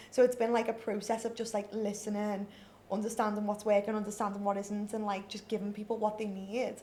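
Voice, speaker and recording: A woman speaks at a fairly high pitch. Noticeable background noise runs underneath. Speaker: nail business founder and educator. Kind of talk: podcast interview.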